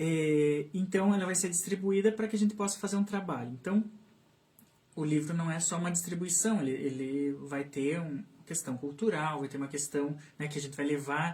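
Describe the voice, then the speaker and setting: This man's pitch is fairly high. He talks at a moderate pace with ordinary pitch variation. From southern Brazil, Santa Catarina (Canoinhas, São Bento do Sul). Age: 30s. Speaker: speech therapist and children's book author. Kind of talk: interview on live radio/stream. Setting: radio studio live stream. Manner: hesitant, many fillers and repetitions.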